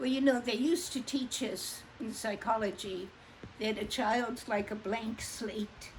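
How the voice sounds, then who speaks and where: This woman's voice is pitched fairly high and sounds somewhat breathy. Its pitch shifts in an ordinary way. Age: 80s+. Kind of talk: casual conversation.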